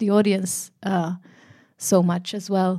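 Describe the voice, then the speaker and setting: A woman speaks in a Finnish accent at a medium pitch, dark and mellow in tone, with monotone, flat intonation. Her pace is fairly slow, on a very clean recording with a silent background. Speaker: actor. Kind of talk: Q&A panel conversation. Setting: stage with audience.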